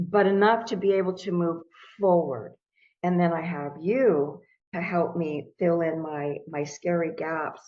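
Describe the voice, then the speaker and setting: At a fairly slow pace, a woman with an unremarkable speaking voice talks at a fairly low pitch with ordinary pitch variation. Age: 60s. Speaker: crypto course student. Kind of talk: testimonial interview.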